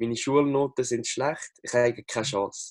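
A man speaks with a Lucerne accent in a dry, close sound with no echo. The recording is very clean, with a silent background. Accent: Swiss German (Lucerne). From Switzerland, Lucerne. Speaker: NLP coach and social media coach. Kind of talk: casual interview.

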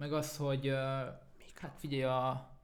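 A man speaks at a moderate pace in a fairly high voice, with audible echo from the room. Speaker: rapper and songwriter. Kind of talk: casual chat.

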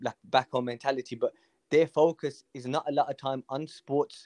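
Here is a man with a Birmingham accent. His intonation stays fairly even. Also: quiet background. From Birmingham, England (Hall Green). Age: 20s. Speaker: amateur footballer. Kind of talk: casual chat.

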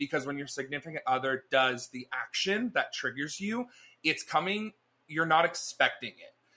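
The speaker uses a bright, sharp tone at a moderate pace, with lively intonation and big swings in loudness. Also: man, fairly high pitch for a man. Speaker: podcast co-host. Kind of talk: casual chat, comedic banter. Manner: animated, jokey, profane.

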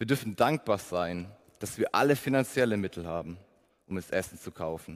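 This man has an ordinary speaking voice and lively intonation. He talks at a moderate pace. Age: 20s. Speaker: preacher. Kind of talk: sermon. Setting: church service.

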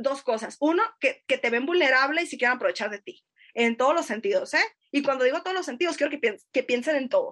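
A woman speaks in a high voice at a fairly quick pace. Her intonation is lively. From northern Mexico, Sonora (Navojoa). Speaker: literature researcher. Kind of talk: casual chat.

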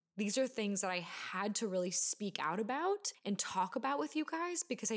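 Here is an ordinary speaking voice from a woman. Her pitch is medium and her pace moderate. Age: 20s. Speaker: podcast host. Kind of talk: solo podcast monologue. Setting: at home on couch. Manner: casual, frequent laughing.

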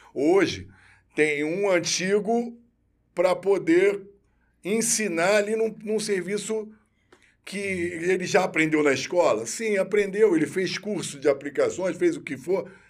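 High in pitch, a man speaks at a fairly slow pace with ordinary pitch variation. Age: 50s. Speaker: military police officer. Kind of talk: interview.

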